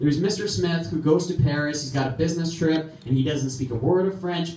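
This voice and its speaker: A man's fairly high voice comes through audible room echo and noticeable background noise. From Russia. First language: Russian. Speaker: comedian. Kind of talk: stand-up. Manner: animated.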